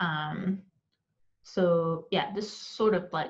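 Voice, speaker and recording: Somewhat breathy and dark, mellow in tone, the woman's voice sits at a medium pitch. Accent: non-native. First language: not English. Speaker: architecture exam tutor. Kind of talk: tutorial. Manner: slow; hesitant, many fillers.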